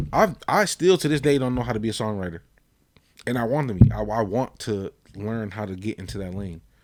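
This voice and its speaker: A man with an unremarkable speaking voice talks at a fairly quick pace in a fairly low pitch, with ordinary pitch variation and big swings in loudness. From Paterson, New Jersey (born in Puerto Rico). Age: 30s. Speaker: podcast host. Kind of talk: casual chat.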